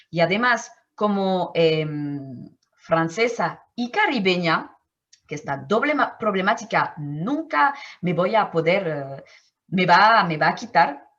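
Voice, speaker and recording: A woman with a French accent speaks very slowly at a medium pitch, her voice making very wide pitch swings. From Martinique. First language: French (speaking Spanish). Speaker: anthropologist. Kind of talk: interview. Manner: halting, with many fillers and self-corrections.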